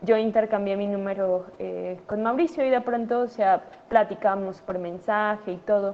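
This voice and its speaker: A woman talks at a fairly slow pace in a medium pitch. Her pitch varies in an ordinary way. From Mexico City. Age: 30s. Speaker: doctor. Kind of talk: conference talk to students. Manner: halting, many fillers.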